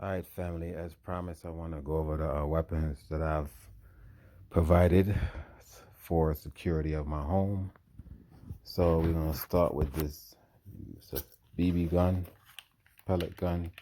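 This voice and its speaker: A man speaks quietly at a moderate pace with long, frequent pauses, his very deep, low voice dark and mellow in tone with monotone, flat intonation. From US inner city. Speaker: survival prep vlogger. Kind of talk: casual show-and-tell tutorial. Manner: low, quiet talking; casual, halting with fillers.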